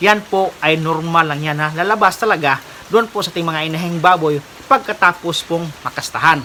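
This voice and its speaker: The talking moves at a fairly quick pace over noticeable background noise. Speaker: pig farmer vlogger. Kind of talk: tutorial. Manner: polite, formal.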